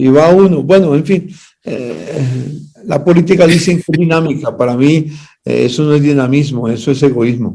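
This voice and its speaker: A man speaks with a dark, mellow tone and fairly high pitch, with ordinary pitch variation. His pace is moderate. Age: 80s+. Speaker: pastor and party official. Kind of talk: interview.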